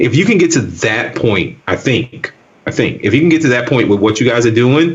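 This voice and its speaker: A man with a Southern US accent, medium in pitch, moderate in pace, with lively intonation and very even loudness, over noticeable background noise. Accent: Southern US accent, says axe for ask. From US South. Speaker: tech video creator. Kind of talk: casual chat.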